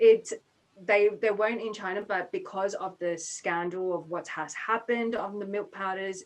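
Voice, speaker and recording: Fairly even in intonation, a woman speaks at a fairly slow pace. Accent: Australian. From Australia. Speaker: business consultant. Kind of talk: webinar talk. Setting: online webinar.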